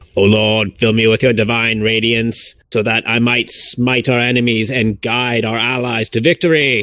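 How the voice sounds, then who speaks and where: In a put-on, robotic character voice, a man speaks at a medium pitch and moderate pace with hardly any pauses. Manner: stilted, mechanical prayer.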